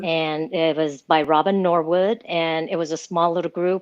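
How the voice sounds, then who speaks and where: A woman speaks in a normal speaking voice at a fairly low pitch. She keeps a moderate pace and fairly even intonation. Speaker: recovery program member. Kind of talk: interview answer.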